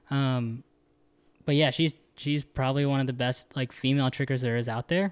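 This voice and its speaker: With an ordinary speaking voice, a man talks at a medium pitch, a moderate pace and fairly even intonation, in a dry, close sound with no echo on a very clean recording with a silent background. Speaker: stunt performer, podcast co-host. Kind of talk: casual chat.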